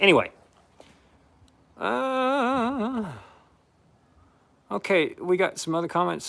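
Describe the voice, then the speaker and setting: Speaking with an American accent, this man lets his pitch leap very widely up and down. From United States. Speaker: gold prospector streamer. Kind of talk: live stream chat reading comments. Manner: casual, halting with fillers.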